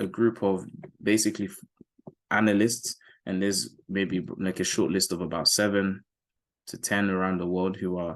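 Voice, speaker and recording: Over a quiet background, a man with a British accent speaks at a moderate pace in a very deep, low pitch. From UK. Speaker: forex trading educator. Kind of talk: market analysis tutorial. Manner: casual, conversational.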